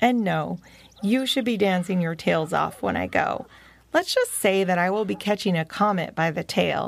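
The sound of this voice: The intonation moves in a lively way. It comes in an unforced reading voice.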